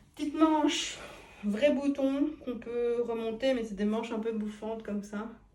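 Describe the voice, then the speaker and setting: A woman's fairly high voice, fairly slow in pace, with ordinary pitch variation. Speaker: fashion vlogger trying on clothes. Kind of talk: casual vlog try-on review. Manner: casual, hesitant with fillers.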